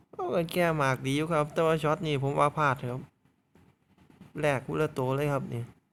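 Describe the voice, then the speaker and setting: A man speaks in an Isan accent at a fairly high pitch. His intonation stays monotone and flat. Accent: Isan (Northeastern Thai) dialect. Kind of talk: casual game commentary.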